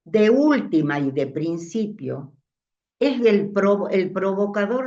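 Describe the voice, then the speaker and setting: Her pitch sits in the medium range for a woman, with very wide swings. She speaks at a very slow pace. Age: 80s+. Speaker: discussion participant. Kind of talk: group discussion.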